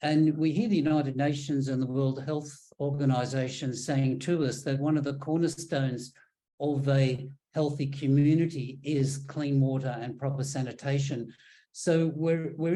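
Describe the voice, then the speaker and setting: A man with an Australian accent speaks at a moderate pace in a fairly high pitch, his dark, mellow tone somewhat breathy and his intonation fairly even. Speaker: engineer on sanitation projects. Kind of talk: presentation. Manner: hesitant, many ums and repeats.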